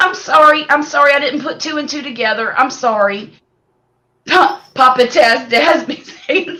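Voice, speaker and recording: This woman's raised, projected voice has a bright, sharp tone, lively intonation and big swings in loudness. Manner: apologetic.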